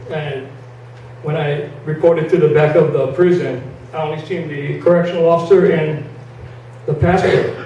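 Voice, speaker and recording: Noticeable background noise and audible room echo around a man's fairly high voice. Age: 60s. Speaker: ex-prisoner, Marine veteran. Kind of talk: testimony. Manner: halting.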